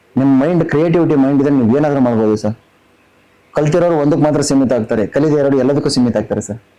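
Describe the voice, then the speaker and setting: Through noticeable background noise, a man talks at a fairly high pitch with ordinary pitch variation. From North Karnataka, Belagavi district. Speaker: businessman and reality show contestant. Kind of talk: interview.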